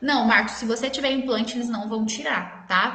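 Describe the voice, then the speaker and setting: Over noticeable background noise and audible room echo, a woman with a fairly high pitch talks at a fairly quick pace with fairly even intonation. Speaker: dentist. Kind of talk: live stream Q&A. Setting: live stream.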